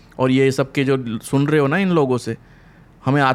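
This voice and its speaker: A man talks in a normal speaking voice, fairly high in pitch, at a moderate pace. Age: 30s. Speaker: podcast co-host. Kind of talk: casual chat. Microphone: too quiet.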